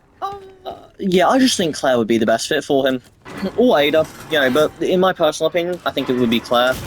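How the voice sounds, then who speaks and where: Over music in the background, a man speaks at a fairly quick pace with lively intonation. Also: fairly high pitch for a man. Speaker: gamer commentator. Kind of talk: casual gameplay commentary.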